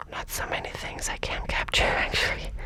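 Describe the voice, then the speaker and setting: A woman whispers in a calm tone. Noticeable background noise runs behind her. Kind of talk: casual thinking-aloud while solving chess puzzles. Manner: soft, whispery, calm.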